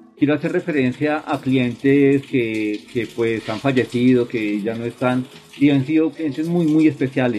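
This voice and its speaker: A man's fairly slow speech over noticeable background noise. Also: medium pitch for a man, ordinary pitch variation. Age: 40s. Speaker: leather craftsman and shoe repairer. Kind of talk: interview testimony.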